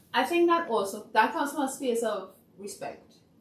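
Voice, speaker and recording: A woman talks at a fairly quick pace with a high pitch and lively intonation. Noticeable background noise is present. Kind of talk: podcast discussion.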